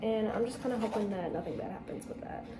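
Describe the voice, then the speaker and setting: A woman speaks in a soft voice. Noticeable background noise and audible room echo surround her. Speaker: vlogger. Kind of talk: casual chat. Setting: home kitchen. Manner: soft-spoken; casual.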